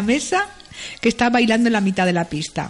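Woman's fairly high-pitched voice amid noticeable background noise. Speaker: news curiosities contributor. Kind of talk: casual chat. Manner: animated.

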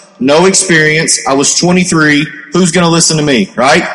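Over noticeable background noise, a man with a fairly high voice talks in a strong Kentucky accent. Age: 20s. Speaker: network marketing entrepreneur. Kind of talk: panel discussion on stage. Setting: stage with audience.

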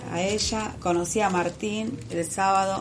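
The intonation stays fairly even, with audible room echo in the recording. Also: woman. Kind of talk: casual chat.

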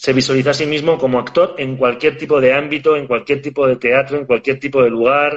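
Fairly even intonation in a man's voice pitched at a medium level. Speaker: podcast host. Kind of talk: interview. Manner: hesitant, repeats words.

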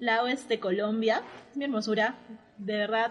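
Her voice is somewhat breathy and fairly high in pitch. The woman talks at a moderate pace. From Peru, Arequipa. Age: 20s. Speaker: podcast host, architect. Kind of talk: casual chat. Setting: remote recording from separate locations.

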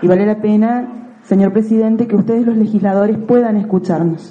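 Over noticeable background noise, a woman speaks in a fairly high pitch with fairly even intonation. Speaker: teacher and community activist. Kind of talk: public testimony at legislative hearing. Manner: emphatic.

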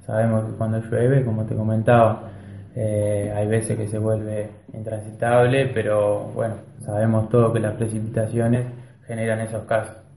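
With noticeable background noise and audible room echo, a man talks at a moderate pace and medium pitch in a monotone, flat intonation. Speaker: local government official. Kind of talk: radio interview.

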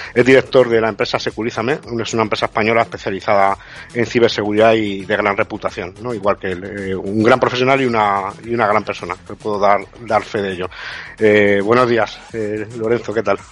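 Against noticeable background noise, a man with a fairly low pitch talks at a fairly quick pace in a monotone, flat intonation. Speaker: radio co-host, cybersecurity specialist. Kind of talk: radio talk show.

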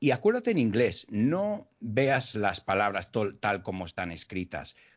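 A man with an American accent, fairly low pitch, ordinary pitch variation and a fairly slow pace. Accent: American accent in Spanish, noticeable rhythm. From United States. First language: English (speaking Spanish). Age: 40s. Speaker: English teacher. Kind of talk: casual interview.

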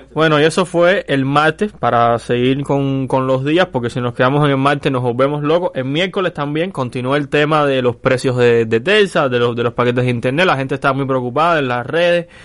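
This man talks at a fairly quick pace with hardly any pauses, in an ordinary speaking voice. His pitch is fairly high, with ordinary variation. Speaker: independent journalist, co-host. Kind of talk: casual chat.

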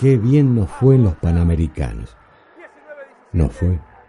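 With very wide pitch swings, a man speaks at a fairly slow pace amid noticeable background noise. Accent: Rosario. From Argentina, Rosario. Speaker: podcast narrator. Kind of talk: scripted narration.

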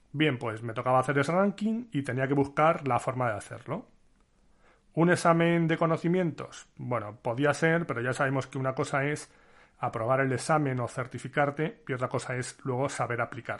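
Over a quiet background, the voice keeps a moderate pace, its pitch varying in an ordinary way. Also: man, fairly high pitch for a man. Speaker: podcast host, IT consultor. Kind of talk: personal storytelling monologue. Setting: home recording setup.

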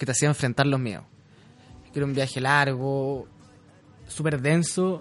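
This is a man's voice. He speaks with a Chilean accent. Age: 20s. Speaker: radio host. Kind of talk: casual chat.

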